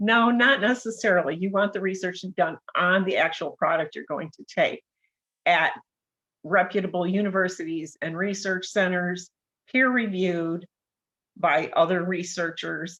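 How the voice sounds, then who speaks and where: A plain, everyday voice, a woman with an American accent speaks at a moderate pace and fairly low pitch, with ordinary pitch variation and big swings in loudness. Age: 60s. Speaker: nurse. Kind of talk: interview.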